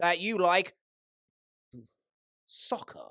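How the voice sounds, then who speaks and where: The speaker talks at a moderate pace with an English accent. The recording is very clean and the background silent. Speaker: debate show panelist. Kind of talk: comedic debate argument.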